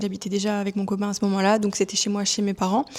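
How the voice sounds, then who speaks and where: The speaker is a woman whose pitch sits in the medium range. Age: 30s. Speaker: vlogger sharing personal story. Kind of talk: personal testimony. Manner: hesitant, many fillers.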